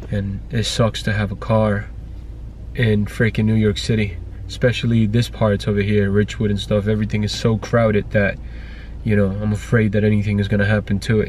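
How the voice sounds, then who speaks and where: A man speaks at a fairly quick pace. The sound is dry with no echo, with light background noise. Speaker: family vlogger. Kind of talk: casual vlog chat. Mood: annoyed, venting. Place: car. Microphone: phone near.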